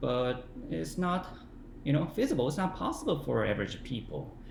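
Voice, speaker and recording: Audible room echo surrounds a voice with a Korean accent. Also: man. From South Korea. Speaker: English learning vlogger. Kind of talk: casual talk to camera. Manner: halting, many fillers.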